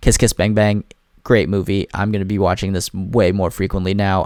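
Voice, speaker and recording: A man with a fairly low pitch and an animated tone, talking at a fairly quick pace on a very clean recording with a silent background. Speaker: movie reviewer. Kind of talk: casual monologue ranking movies. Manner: fast.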